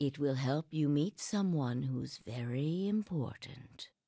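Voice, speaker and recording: In a put-on character voice, the speaker talks at a fairly slow pace with a low-to-middle pitch. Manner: very slow speech.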